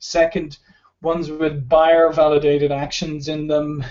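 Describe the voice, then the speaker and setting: A man with an Irish accent, his pitch fairly high and his pace fairly slow. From Ireland. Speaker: sales expert. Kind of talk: webinar presentation. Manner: halting, many fillers.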